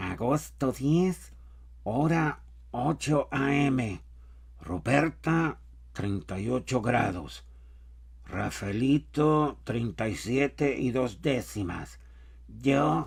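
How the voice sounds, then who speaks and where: A whiny put-on character voice moves at a very slow pace with lively intonation. Long, frequent pauses break it up. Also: man, medium pitch for a man. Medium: read story. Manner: anxious, fretful.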